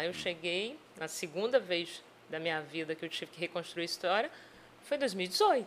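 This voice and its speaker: At a moderate pace, this is an unremarkable speaking voice. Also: woman. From Espírito Santo, Brazil (Vila Velha). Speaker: sales and HR business mentor. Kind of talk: podcast interview.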